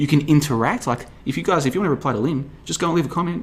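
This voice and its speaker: Speaking at a very fast pace, a man uses a fairly high pitch with ordinary pitch variation. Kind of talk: podcast monologue reading listener comments. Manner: stumbling over words.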